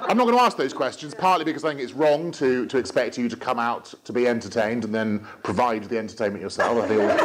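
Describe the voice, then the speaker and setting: Very fast speech with hardly any pauses, ordinary pitch variation and noticeable background noise. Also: man, medium pitch for a man. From England, Gloucestershire. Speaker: comedian. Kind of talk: stand-up. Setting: stage with audience.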